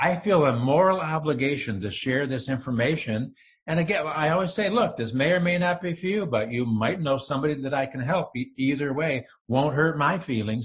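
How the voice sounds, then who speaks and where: Somewhat breathy and with an American accent, the voice moves at a moderate pace with lively intonation. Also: man. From upstate New York (Rochester). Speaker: entrepreneur, former broadcaster. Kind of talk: interview podcast. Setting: call. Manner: animated.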